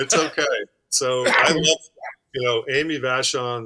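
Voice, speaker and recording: On a very clean recording with a silent background, a man speaks in a Worcester accent at a moderate pace. His tone is bright and sharp, and the sound is dry and close with no echo. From Worcester, Massachusetts. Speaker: former baseball pitcher and sports psychologist. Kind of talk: interview.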